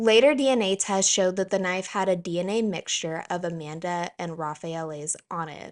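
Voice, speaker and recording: A woman of medium pitch talks at a moderate pace. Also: ordinary pitch variation, hardly any pauses, quiet background. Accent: American. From US South. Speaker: true crime YouTuber. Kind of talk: scripted narration.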